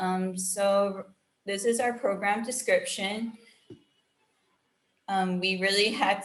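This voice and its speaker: A woman speaks, and audible room echo surrounds her words. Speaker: special education staff trainer. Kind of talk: staff training presentation.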